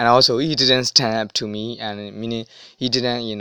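A man talks with a non-native accent. His intonation is fairly even. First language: not English. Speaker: language learning vlogger. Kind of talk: casual advice monologue. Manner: halting, many fillers.

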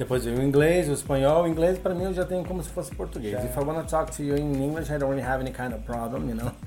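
Speaking at a very fast pace, a man barely pauses at all. There is audible room echo along with noticeable background noise. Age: 40s. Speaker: language teacher. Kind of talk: casual interview.

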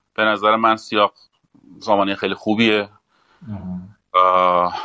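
At a fairly slow pace, a man speaks with a fairly low pitch and a bright, sharp tone. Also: dry, close sound with no echo. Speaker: former central bank official, panel guest. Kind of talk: panel discussion.

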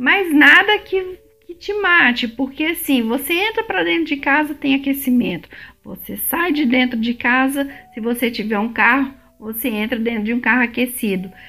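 The voice is raised and projected, with very wide pitch swings. It moves at a moderate pace over noticeable background noise. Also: woman, high pitch for a woman. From Brazil, Belo Horizonte (Minas Gerais). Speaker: immigration vlogger. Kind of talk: casual vlog monologue.

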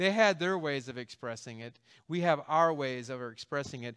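A man with a normal speaking voice at a fairly high pitch, ordinary pitch variation and a moderate pace, on a very clean recording with a silent background. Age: 50s. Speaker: pastor. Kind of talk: sermon.

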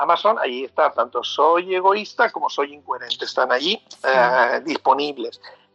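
A man's voice, dry and close with no echo. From Mexico City. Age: 40s. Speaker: author. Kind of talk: interview. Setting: phone call. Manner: halting.

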